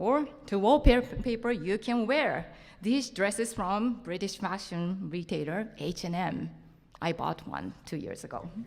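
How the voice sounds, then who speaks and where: Speaking with a Japanese accent at a fairly slow pace, a woman uses lively intonation at a medium pitch with vocal fry, in a very clean recording with a silent background. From Japan, Tokyo. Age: 50s. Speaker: printmaker and lecturer. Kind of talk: conference talk. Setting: stage with audience.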